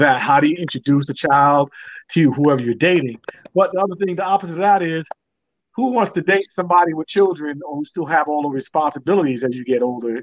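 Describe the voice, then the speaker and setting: A man's unremarkable speaking voice, fairly high in pitch with ordinary pitch variation, at a fairly quick pace. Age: 30s. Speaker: dating panel guest. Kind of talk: casual chat.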